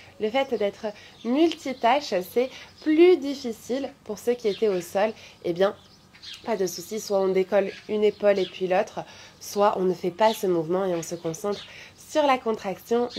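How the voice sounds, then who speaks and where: A woman talks at a fairly slow pace with lively intonation and a medium pitch. Light background noise can be heard. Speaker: yoga teacher and physiotherapist; yoga teacher. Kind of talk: guided yoga class; reading out live chat comments. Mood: warm, cheerful. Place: garden. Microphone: phone near.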